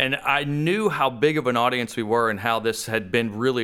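A man speaks loudly with ordinary pitch variation on a very clean recording against a silent background. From Texas. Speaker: radio DJ and music director. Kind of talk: casual interview chat. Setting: studio.

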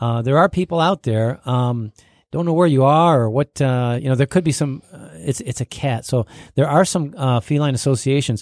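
A man with an American accent speaks at a moderate pace and medium pitch, in a plain, everyday voice with ordinary pitch variation. The sound is dry and close with no echo, the recording very clean over a silent background. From Michigan. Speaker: pet professional. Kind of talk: casual chat.

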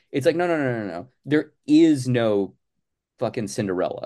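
A man talks at a moderate pace in an American accent. His tone is dark and mellow, and the background is quiet. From Arizona. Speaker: comics creator. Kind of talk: interview.

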